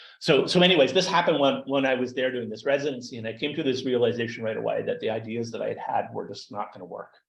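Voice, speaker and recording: A man with a Canadian accent speaks at a very fast pace with hardly any pauses. His loudness swings widely. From Canada. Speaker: data artist and researcher. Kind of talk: lecture. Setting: seminar room, also streamed on video call. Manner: halting, repeats words.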